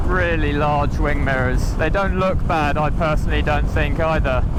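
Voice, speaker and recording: A man talks at a moderate pace, with audible room echo and noticeable background noise around his voice. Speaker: motorcycle reviewer. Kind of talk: ride review commentary while riding. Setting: outdoors on a motorbike. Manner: animated.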